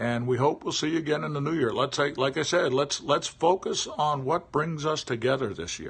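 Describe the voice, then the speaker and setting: This man's voice is somewhat breathy, with ordinary pitch variation. He talks at a moderate pace. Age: 60s. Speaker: livestreamer. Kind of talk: casual monologue. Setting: live stream. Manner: halting.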